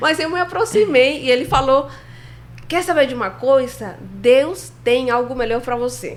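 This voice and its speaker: A woman's high voice at a fairly slow pace, with ordinary pitch variation and noticeable background noise. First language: Spanish (speaking Portuguese). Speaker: filmmaker. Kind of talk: interview storytelling.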